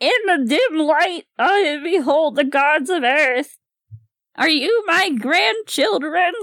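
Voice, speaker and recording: A put-on character voice is used. The pace is very slow. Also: woman, high pitch for a woman. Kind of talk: theatrical, fantasy-style.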